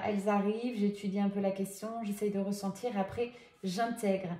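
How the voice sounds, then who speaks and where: A woman talks fairly quickly at a medium pitch with fairly even intonation. Noticeable background noise can be heard. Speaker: medium doing tarot guidance. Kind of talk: card reading guidance. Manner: soft, gentle; hesitant, many fillers.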